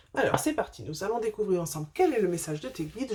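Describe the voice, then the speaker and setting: A woman's voice, dark, mellow and somewhat breathy. She speaks at a very fast pace. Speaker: spiritual medium doing card readings. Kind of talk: tarot-style oracle reading to camera. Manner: hesitant, many fillers.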